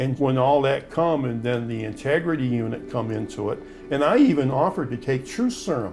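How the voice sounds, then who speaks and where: A man with an American accent talking at a fairly quick pace over background music. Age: 70s. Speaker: exonerated former prisoner. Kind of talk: interview. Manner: halting.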